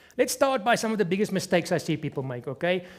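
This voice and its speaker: In a non-native accent, a man speaks with a high pitch and lively intonation. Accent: noticeable non-native accent, self-described. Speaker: fitness trainer. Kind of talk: tutorial. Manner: instructive, conversational.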